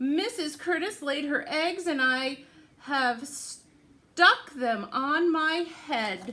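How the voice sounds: A woman's put-on character voice, high, bright and sharp, with lively intonation at a very slow pace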